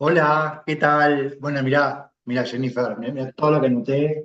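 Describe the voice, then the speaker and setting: With a Rioplatense accent, a man speaks at a moderate pace and ordinary pitch variation. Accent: Argentine Rioplatense Spanish. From Argentina. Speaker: clinical pharmacist expert. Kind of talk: expert feedback in online medical session.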